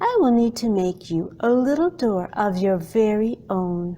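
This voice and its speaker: Using a put-on character voice, a woman speaks at a medium pitch and a moderate pace. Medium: read story.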